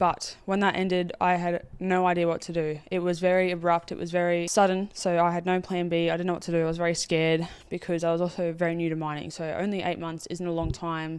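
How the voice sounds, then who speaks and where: With hardly any pauses, a woman in an Australian accent talks at a very fast pace and a fairly low pitch in a very clean recording with a silent background. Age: 20s. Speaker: podcast host, mine worker. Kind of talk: casual monologue. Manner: animated.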